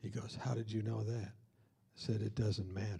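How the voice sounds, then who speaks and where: Vocal fry runs through a dark, mellow tone delivered in monotone, flat intonation. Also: man. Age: 60s. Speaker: speaker leading a college week of prayer. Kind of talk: sermon.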